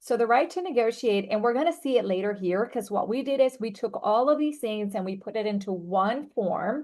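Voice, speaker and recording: With lively intonation and a fairly high pitch, a woman talks at a fairly quick pace with hardly any pauses. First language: not English. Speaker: real estate attorney. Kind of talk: training presentation. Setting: video call.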